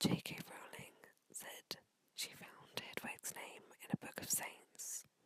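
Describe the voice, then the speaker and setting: Whispering at a fairly slow pace, a woman leaves long, frequent pauses as her loudness swings widely. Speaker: ASMR creator. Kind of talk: ASMR whispered fact reading. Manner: whispered, slow, reading aloud.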